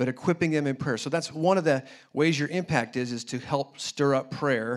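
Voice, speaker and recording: A man talks at a fairly quick pace with a fairly high pitch and ordinary pitch variation. He has an ordinary speaking voice. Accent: American. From US Midwest (Indianapolis). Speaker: missionary and guest preacher. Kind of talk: sermon. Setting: church service.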